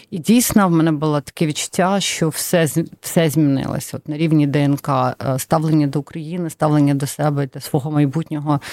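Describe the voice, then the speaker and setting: A woman with a Russian accent speaks at a moderate pace in a very deep, low voice with a dark, mellow tone and fairly even intonation. The sound is dry and close with no echo, on a very clean recording with a silent background. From Donetsk, eastern Ukraine. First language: Russian (speaking Ukrainian). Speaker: charity executive. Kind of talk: interview.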